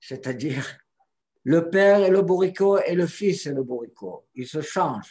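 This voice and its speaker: A high-pitched male voice, dark and mellow in tone, with lively intonation. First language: not French (speaking French). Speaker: Torah teacher. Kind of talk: teaching conversation. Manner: halting.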